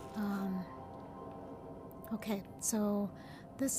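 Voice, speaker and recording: Over music in the background, the voice holds a monotone, flat intonation. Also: woman. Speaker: video game streamer. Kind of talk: live gameplay commentary. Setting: live stream. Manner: hesitant, many fillers.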